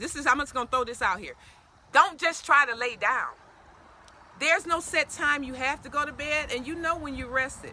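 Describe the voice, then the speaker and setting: A woman with an American accent talks in a raised, projected voice at a high pitch with ordinary pitch variation and an animated tone. Her pace is fairly quick, with long, frequent pauses, big swings in loudness and noticeable background noise. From Detroit, Michigan. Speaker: detox and wellness coach. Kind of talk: casual interview. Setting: Facebook live stream on location. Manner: fast.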